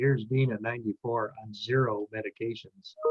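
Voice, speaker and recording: Music plays behind a man with an American accent. He speaks at a fairly quick pace. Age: 70s. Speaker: host of a direct-sales team call. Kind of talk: casual group call.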